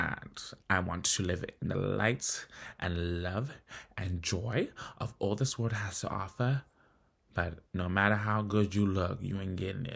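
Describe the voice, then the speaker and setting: With ordinary pitch variation, a man's fairly low pitch carries his speech at a fairly slow pace. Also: very clean recording, silent background. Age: 30s. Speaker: vlogger. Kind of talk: personal vlog monologue. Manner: animated.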